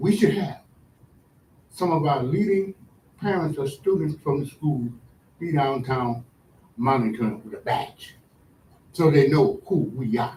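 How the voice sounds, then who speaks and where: With long, frequent pauses, a somewhat breathy voice of dark, mellow tone moves at a fairly slow pace with lively intonation. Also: man, fairly high pitch for a man. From Providence, Rhode Island. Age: 70s. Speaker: public commenter. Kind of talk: public comment at a meeting. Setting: school board meeting.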